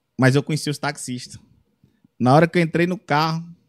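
At a very fast pace, a man talks with ordinary pitch variation in a dry, close sound with no echo. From Brazil, Ceará interior. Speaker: comedian and singer-songwriter. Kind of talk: casual chat. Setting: studio.

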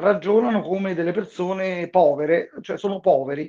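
At a moderate pace, a man speaks with a high pitch. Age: 50s. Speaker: libertarian Bitcoin advocate. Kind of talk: casual chat. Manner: animated.

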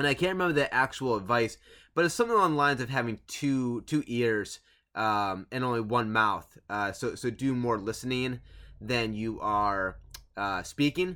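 Recorded very cleanly against a silent background, a man speaks at a medium pitch in a bright, sharp tone. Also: ordinary pitch variation, moderate pace. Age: 30s. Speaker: podcaster and teacher. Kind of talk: casual solo monologue. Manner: halting, many fillers.

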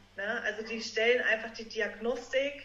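Her voice sits high and her intonation stays fairly even as she talks at a fairly slow pace. Audible room echo fills the recording of this woman. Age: 30s. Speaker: naturopath. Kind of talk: podcast interview.

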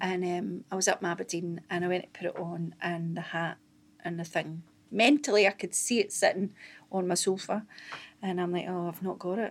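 Speaking in a Scottish accent, a woman keeps a moderate pace and a medium pitch with fairly even intonation. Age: 40s. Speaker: stand-up comedian. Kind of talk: casual chat. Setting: studio.

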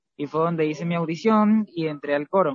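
The man's intonation moves in a lively way. His voice sits fairly high. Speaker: singer in a vocal trio. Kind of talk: interview.

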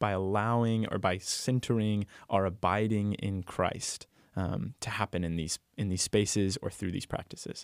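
A man with an unremarkable speaking voice and fairly even intonation, on a very clean recording with a silent background and a dry, close sound with no echo. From Texas. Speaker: university ministry director. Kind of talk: casual chat.

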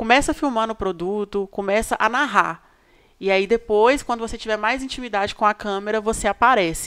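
A woman's fairly high voice, an unremarkable speaking voice, with ordinary pitch variation and a fairly quick pace. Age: 20s. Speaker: social media influencer. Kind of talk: casual interview.

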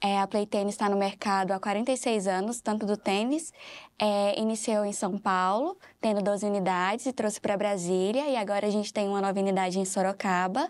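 An ordinary speaking voice from a woman at medium pitch and moderate pace, with fairly even intonation, very even loudness, and a very clean recording with a silent background. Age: 20s. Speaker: operations manager. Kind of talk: interview.

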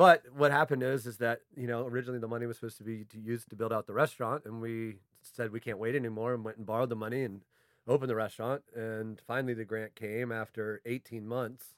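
A man talks at a very fast pace with an American accent. His intonation stays fairly even. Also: medium pitch for a man. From Vienna, Virginia, US. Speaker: restaurant co-founder. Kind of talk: casual chat.

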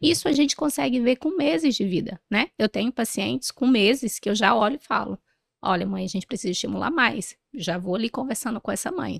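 On a very clean recording with a silent background and a dry, close sound with no echo, a woman speaks fairly quickly at a fairly high pitch, with lively intonation and vocal fry. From northern Brazil, interior of Pará. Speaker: pediatrician. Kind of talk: interview. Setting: event recording in Rio de Janeiro.

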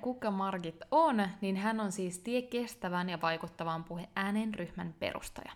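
Very clean recording with a silent background, a woman at medium pitch speaking very slowly with lively intonation. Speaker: podcast host and online entrepreneur. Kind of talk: interview; scripted narration.

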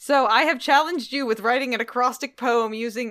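Recorded very cleanly against a silent background, a woman speaks at a fairly quick pace with ordinary pitch variation. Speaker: podcast host. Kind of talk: casual chat. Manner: animated.

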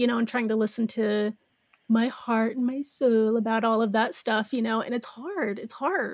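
Fairly high in pitch, a woman with an unremarkable speaking voice talks at a moderate pace with fairly even intonation. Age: 30s. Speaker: podcast co-host. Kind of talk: casual chat.

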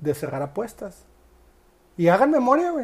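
A woman speaks with a Mexican accent. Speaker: sports betting podcast host. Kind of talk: casual monologue. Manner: halting, repeats words.

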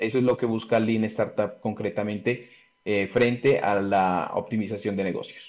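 A man talks in a normal speaking voice, medium in pitch, at a fairly slow pace with fairly even intonation. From Colombia, Pasto (Nariño). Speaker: industrial engineer and business consultant. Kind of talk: interview.

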